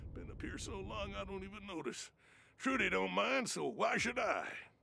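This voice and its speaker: A raspy, put-on character voice from a man, in a rural Western US accent, at a moderate pace with big swings in loudness. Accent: rural American Western drawl. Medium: video game. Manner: rambling, chuckling, folksy.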